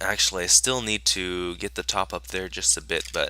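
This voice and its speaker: A man's very deep, low pitch with vocal fry, a bright, sharp tone and a moderate pace. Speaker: gaming YouTuber. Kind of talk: gameplay commentary. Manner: halting, many fillers.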